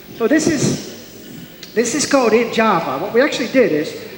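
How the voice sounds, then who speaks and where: A man talks amid audible room echo and noticeable background noise. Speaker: software architect and conference speaker. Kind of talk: conference talk. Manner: fast.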